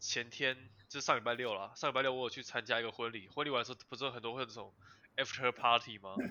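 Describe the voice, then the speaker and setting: A man speaks very fast at a medium pitch, keeping his intonation fairly even. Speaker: podcast host. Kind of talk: casual chat. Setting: online remote recording.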